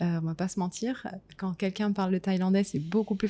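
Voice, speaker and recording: A woman with a medium pitch talks at a fairly quick pace in a dark, mellow, somewhat breathy tone with fairly even intonation. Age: 30s. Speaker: podcast host, business owner. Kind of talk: casual conversation.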